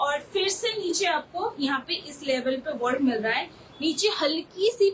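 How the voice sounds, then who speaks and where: With a Bengali accent, the speaker uses an animated tone over noticeable background noise. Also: woman. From Bengal, India. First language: Bengali (speaking Hindi). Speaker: online saree seller. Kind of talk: live sales pitch. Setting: live video stream.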